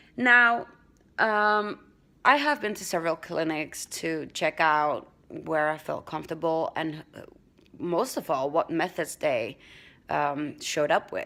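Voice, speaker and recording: Lively intonation from a woman with a fairly low voice at a fairly slow pace, on a very clean recording with a silent background. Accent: Dutch. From Netherlands. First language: Dutch. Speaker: vlogger. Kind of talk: casual vlog talk. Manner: halting, many fillers and restarts.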